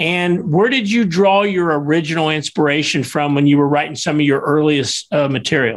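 In a normal speaking voice, a man talks at a moderate pace with hardly any pauses, his fairly high pitch showing ordinary variation and his loudness very even. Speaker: show host. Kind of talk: casual interview chat.

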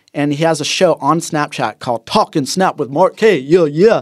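On a very clean recording with a silent background, moderately paced speech from a man with ordinary pitch variation. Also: dry, close sound with no echo. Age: 20s. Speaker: surfer and social media influencer. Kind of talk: casual interview. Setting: studio. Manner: animated.

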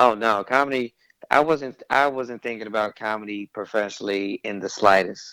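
Dry and close with no echo, a man speaks at a moderate pace in a fairly low pitch with a bright, sharp tone and ordinary pitch variation. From Louisiana, Shreveport. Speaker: stand-up comedian. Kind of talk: casual interview chat.

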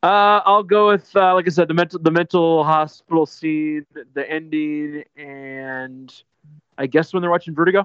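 A man's plain, everyday voice, fairly high in pitch, with ordinary pitch variation and a moderate pace. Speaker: guest film commentator. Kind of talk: casual movie discussion podcast.

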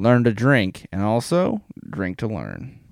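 A man speaks with lively intonation in an American accent. The recording is very clean, with a silent background. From US Midwest, Ohio. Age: 20s. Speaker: podcast host. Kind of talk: casual solo podcast monologue.

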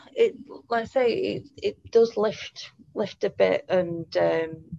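A woman with a British accent speaks very slowly, the sound dry and close with no echo. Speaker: podcast host, pet bereavement counsellor. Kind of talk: podcast interview. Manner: hesitant, many fillers.

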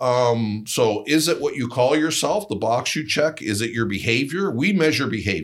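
A man with a Canadian accent and an unremarkable speaking voice talks at a moderate pace and medium pitch, with lively intonation and hardly any pauses. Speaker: think tank executive. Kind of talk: interview.

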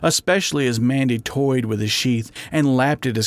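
The text is simply read aloud in a plain way.

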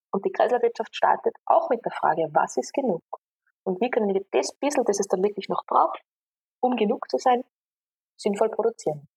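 A woman's somewhat breathy, fairly high voice, with very wide pitch swings, a moderate pace and long, frequent pauses, in a dry, close sound with no echo. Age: 30s. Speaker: engineer and systemic consultant. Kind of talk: interview conversation.

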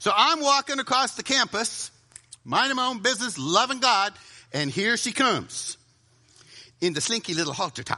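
With a raised, projected voice that is extremely high and bright, sharp in tone, a man speaks at a moderate pace with lively intonation and long, frequent pauses. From US South. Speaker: preacher. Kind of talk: sermon.

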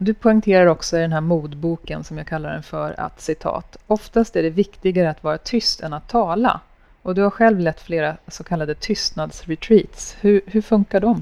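A woman talks at a moderate pace in a medium pitch with a dark, mellow tone and ordinary pitch variation. She leaves hardly any pauses, and her loudness swings widely. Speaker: podcast host. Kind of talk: interview. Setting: café with small audience.

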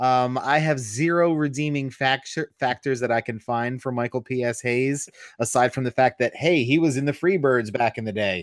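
A man with an ordinary speaking voice talks at a moderate pace and medium pitch, with ordinary pitch variation. The very clean recording has a silent background and a dry, close sound with no echo. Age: 30s. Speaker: wrestling podcast co-host. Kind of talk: casual chat.

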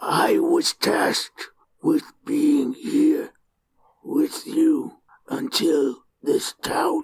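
In a put-on character voice, the speaker sounds high-pitched and raspy, going very slowly with long, frequent pauses. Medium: actual play. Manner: clipped, terse, few words.

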